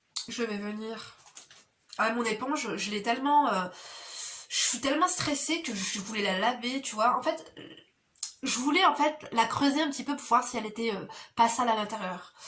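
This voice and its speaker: Intonation is lively, and the pace is moderate. Long pauses come often. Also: woman, high pitch for a woman. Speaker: beauty vlogger and mother. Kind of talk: casual chat while doing makeup. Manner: soft-spoken. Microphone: no microphone, camera audio.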